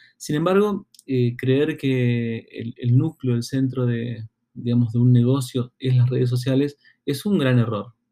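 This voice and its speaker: A man's dark, mellow tone at a medium pitch, with ordinary pitch variation. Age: 40s. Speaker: marketing consultant and podcast host. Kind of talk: solo educational podcast monologue. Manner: halting, many fillers and repeated words.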